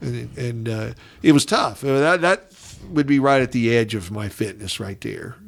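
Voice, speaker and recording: A man with an American accent and an unremarkable speaking voice speaks at a medium pitch and moderate pace with lively intonation. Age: 60s. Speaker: retired educator. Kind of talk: casual chat. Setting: studio.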